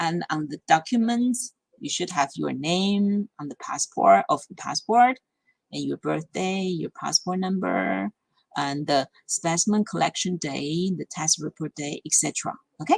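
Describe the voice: Fairly slow pace and vocal fry, ordinary pitch variation, in a dry, close sound with no echo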